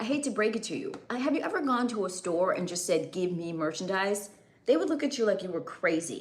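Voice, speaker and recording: A woman of medium pitch speaks at a fairly quick pace with very wide pitch swings, amid noticeable background noise and audible room echo. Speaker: livestreamer and custom audio creator. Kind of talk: casual livestream chat. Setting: live stream.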